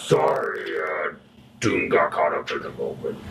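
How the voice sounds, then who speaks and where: The speaker uses a put-on character voice and talks at a moderate pace. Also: man, extremely high pitch for a man. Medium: machinima. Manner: refers to himself in third person.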